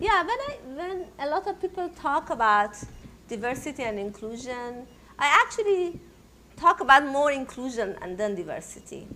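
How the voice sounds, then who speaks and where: A woman's raised, projected voice with a Persian accent, high in pitch with very wide pitch swings, at a moderate pace over noticeable background noise. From Iran. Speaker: technology entrepreneur. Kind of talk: panel interview. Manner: loud.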